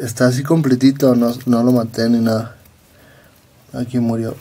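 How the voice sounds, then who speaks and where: In a Mexican accent, a man speaks at a fairly slow pace with a dark, mellow tone and fairly even intonation. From Mexico. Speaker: vlogger and event videographer; vlogger. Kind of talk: casual vlog chat. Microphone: camera far.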